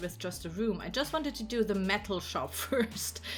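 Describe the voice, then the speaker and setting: Speaking with a German accent, a woman keeps a moderate pace, a fairly high pitch and ordinary pitch variation. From Germany. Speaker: gaming YouTuber and streamer. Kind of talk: game build tour. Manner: casual, with many fillers.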